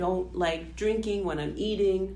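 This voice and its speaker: A woman speaks at a fairly slow pace, with audible room echo and noticeable background noise. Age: 20s. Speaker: nurse, podcast co-host. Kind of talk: casual chat.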